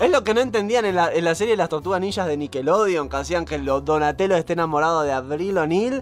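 A man talks at a very fast clip in a high voice, with hardly any pauses and lively intonation. Music plays in the background. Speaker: podcast co-host. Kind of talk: casual chat. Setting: live stream.

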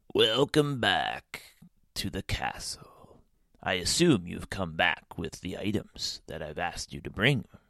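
Using a put-on character voice, a man speaks fairly low and fairly slowly with big swings in loudness. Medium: read story.

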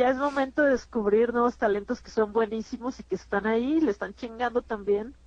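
In an ordinary speaking voice, a woman talks at a fairly quick pace with hardly any pauses, a fairly high pitch, fairly even intonation and big swings in loudness. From Mexico City. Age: 30s. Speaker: stand-up comedian. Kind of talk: casual interview.

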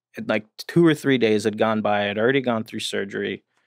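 A man's ordinary speaking voice with an American accent, fairly quick pace and ordinary pitch variation, in a dry, close sound with no echo. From New Jersey, near New York City. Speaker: addiction treatment professional in long-term recovery. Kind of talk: casual interview, personal recovery story.

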